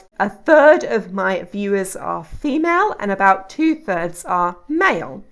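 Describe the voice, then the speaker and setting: A woman speaks at a medium pitch with a British accent. Her pace is fairly slow and her pitch swings very widely. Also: hardly any pauses. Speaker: YouTube tutorial creator. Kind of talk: tutorial. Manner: calm, measured.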